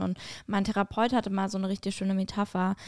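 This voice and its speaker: The sound is dry and close, with no echo. A woman speaks with monotone, flat intonation. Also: very clean recording, silent background. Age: 20s. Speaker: podcast host and stand-up comedian. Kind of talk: casual chat.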